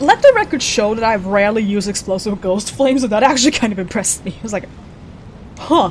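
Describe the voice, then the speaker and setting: Talking at a very fast pace, a woman has a fairly high pitch with ordinary variation. Noticeable background noise is present. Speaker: VTuber streamer. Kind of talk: gameplay livestream commentary.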